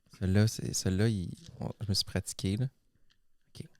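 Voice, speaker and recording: A soft-spoken man with a Quebec accent, fairly low in pitch with ordinary pitch variation, at a fairly quick pace, in a dry, close recording with no echo. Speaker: comedy web show co-host. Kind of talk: casual chat. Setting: indoors by a fireplace.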